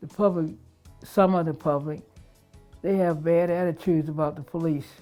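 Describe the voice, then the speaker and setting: Over music in the background, a woman with an American accent speaks at a fairly low pitch with fairly even intonation. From Baltimore, Maryland, USA. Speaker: retired police officer. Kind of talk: interview answer.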